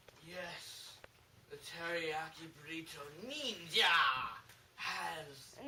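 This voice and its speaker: With audible echo, a put-on character voice at a middle pitch moves at a very slow pace, broken by long, frequent pauses. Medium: short film. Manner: pompous, bossy.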